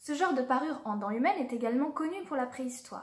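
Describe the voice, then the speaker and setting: With a high pitch, a woman speaks at a fairly quick pace. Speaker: archaeology video creator. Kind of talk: educational narration. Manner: formal.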